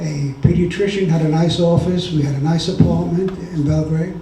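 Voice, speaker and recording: There is audible room echo and noticeable background noise as a man with a fairly high voice speaks in a fairly even intonation. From Yugoslavia (Serbia), then Hungary. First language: Serbian, then Hungarian. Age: 80s+. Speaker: Holocaust survivor, retired doctor. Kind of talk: testimony. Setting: remembrance ceremony with audience.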